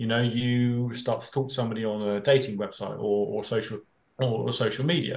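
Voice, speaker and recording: His pitch sits at a medium level. The man talks in a British accent. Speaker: fraud prevention expert, panelist. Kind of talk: panel discussion. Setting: webinar. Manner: hesitant, many filler words and repetitions.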